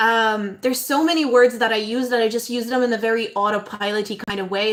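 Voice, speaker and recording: A high-pitched woman with a non-native accent at a moderate pace. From abroad, moved to Ireland at about eleven. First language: not English. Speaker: astrologer. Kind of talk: casual live stream talk. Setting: live stream. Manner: hesitant, many fillers.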